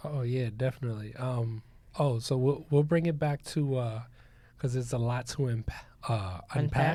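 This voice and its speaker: A man's medium-pitched voice, dark and mellow in tone, somewhat breathy, with ordinary pitch variation at a moderate pace. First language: not English. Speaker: podcast co-host and coach. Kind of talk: casual chat. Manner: animated.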